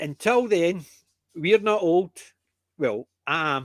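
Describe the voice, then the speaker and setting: With a Scottish accent, a man speaks at a fairly high pitch and fairly slow pace with lively intonation. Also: dry, close sound with no echo. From Scotland (Lowlands). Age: 60s. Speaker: podcast host. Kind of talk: casual chat.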